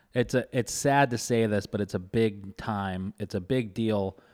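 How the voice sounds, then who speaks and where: With an unremarkable speaking voice, a man talks at a fairly low pitch with fairly even intonation, in a dry, close sound with no echo. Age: 30s. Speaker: podcast host and restaurant owner. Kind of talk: show intro and outro; casual chat.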